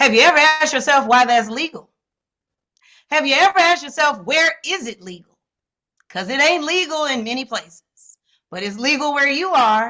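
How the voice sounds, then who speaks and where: A woman with an American accent speaks at a moderate pace in a high, bright, sharp voice, raised and projected, with lively intonation. Her loudness swings a lot, and her pauses are long and frequent. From Chicago, South Side. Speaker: psychiatrist. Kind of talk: casual chat. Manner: animated.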